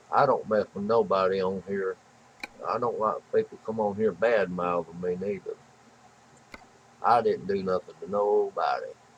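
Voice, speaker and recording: Over noticeable background noise, a man with a Southern US accent talks at a moderate pace, leaving long, frequent pauses. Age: 60s. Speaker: gaming livestreamer. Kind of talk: live gaming stream chat. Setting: livestream.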